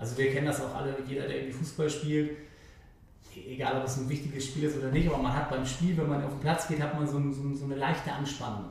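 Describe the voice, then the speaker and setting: A man talks very fast at a fairly high pitch, his intonation monotone and flat. Audible room echo and noticeable background noise surround him. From Hamburg, Germany (Eimsbüttel). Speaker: sports TV reporter and former footballer. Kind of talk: podcast interview. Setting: live event venue.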